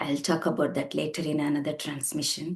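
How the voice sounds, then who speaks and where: A woman speaks in a Tamil accent. Her tone is dark and mellow, with fairly even intonation. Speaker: spiritual teacher. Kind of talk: spiritual talk. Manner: halting.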